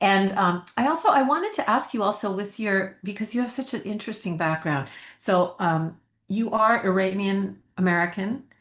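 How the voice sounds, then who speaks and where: An unremarkable speaking voice: a woman at a medium pitch and moderate pace, with ordinary pitch variation and a quiet background. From US. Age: 60s. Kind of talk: casual interview.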